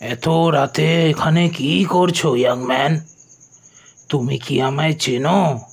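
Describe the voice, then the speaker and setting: Gruff and raspy, a man uses a put-on character voice with a fairly high pitch, a very slow pace and very even loudness. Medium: audio drama. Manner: gruff, irritable.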